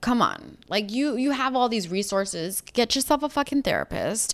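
Heard on a very clean recording with a silent background, a woman with an American accent and a plain, everyday voice talks at a moderate pace, fairly high in pitch with ordinary pitch variation. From New York. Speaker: podcast co-host. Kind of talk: casual chat.

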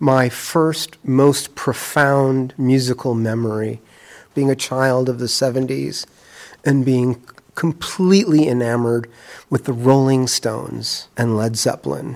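Here a man has an ordinary speaking voice at a medium pitch. He talks at a fairly slow pace with fairly even intonation. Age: 60s. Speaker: musician, interviewee. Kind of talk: testimony.

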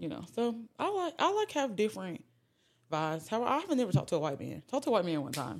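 Talking very fast, a woman moves through very wide pitch swings. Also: medium pitch for a woman. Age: 20s. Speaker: podcast host. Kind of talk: casual chat.

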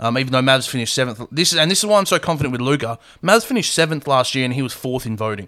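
Speaking at a very fast pace with hardly any pauses, a man with an Australian accent uses lively intonation, a medium pitch and a bright, sharp tone. The recording is very clean, with a silent background. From Perth, Australia. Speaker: podcast host. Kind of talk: casual chat.

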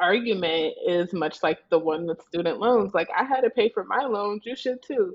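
In a normal speaking voice with an American accent, the speaker talks at a fairly slow pace. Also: woman. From Nebraska. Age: 20s. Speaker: law student. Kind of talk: casual chat.

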